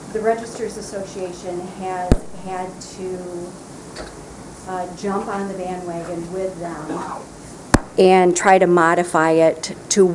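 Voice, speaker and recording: At a very slow pace with long, frequent pauses, a woman speaks in a monotone with flat intonation at a medium pitch, her loudness swinging widely, amid noticeable background noise and audible room echo. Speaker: county register of deeds. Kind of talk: prepared public comment. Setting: county committee meeting.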